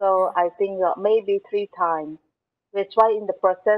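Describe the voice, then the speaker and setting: At a moderate pace, the speaker delivers monotone, flat intonation against a quiet background. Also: woman. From Malaysia, Selangor. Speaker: artist. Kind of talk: interview. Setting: video call. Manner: halting. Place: studio. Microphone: earbuds.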